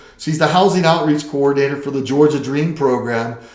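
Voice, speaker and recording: A man's voice comes through with noticeable background noise behind it and audible echo from the room. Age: 60s. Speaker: real estate agent. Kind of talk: casual chat. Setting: office.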